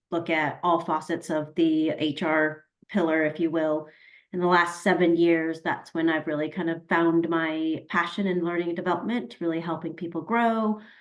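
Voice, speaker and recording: A normal speaking voice from a woman with an American accent, fairly low in pitch, fairly even in intonation, at a moderate pace. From US, Colorado. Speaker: learning and development professional. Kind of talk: webinar self-introduction.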